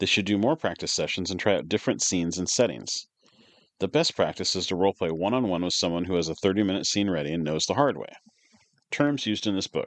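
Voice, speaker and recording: Very fast speech with lively intonation, recorded dry and close with no echo against a quiet background. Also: man, very deep, low pitch for a man. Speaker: tabletop RPG book reader and commentator. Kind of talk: book read-aloud with commentary. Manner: amateur reading, occasional repeats.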